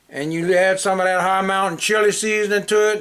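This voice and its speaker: High pitch in a man's voice. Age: 60s. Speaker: home cook. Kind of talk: casual cooking tutorial. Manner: folksy, conversational.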